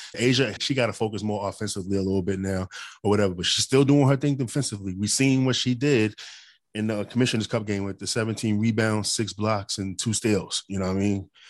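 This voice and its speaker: A man's fairly low voice at a very fast pace, with ordinary pitch variation over a quiet background. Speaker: sports podcast host. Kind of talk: casual sports talk. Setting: Zoom call streamed live.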